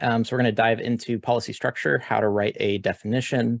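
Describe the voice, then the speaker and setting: A man at medium pitch, dry and close with no echo, on a very clean recording with a silent background. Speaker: tech conference speaker. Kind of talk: technical presentation. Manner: fast.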